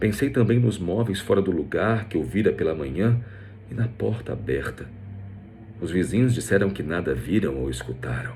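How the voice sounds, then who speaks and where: Very wide pitch swings from a man at a moderate pace, with music in the background and audible room echo. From Brazil, Rio de Janeiro. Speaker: voice actor and narrator. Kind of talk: scripted narration.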